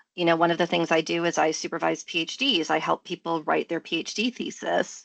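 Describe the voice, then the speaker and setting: In a quiet background with a dry, close sound and no echo, a woman with an American accent speaks at a moderate pace in a fairly low pitch. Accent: American, unchanged. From US Midwest, Michigan. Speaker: professor and coach. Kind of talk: interview. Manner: conversational, many fillers.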